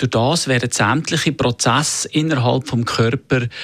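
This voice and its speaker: Using an ordinary speaking voice, a man talks at a fairly slow pace with ordinary pitch variation. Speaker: personal trainer. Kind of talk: radio interview.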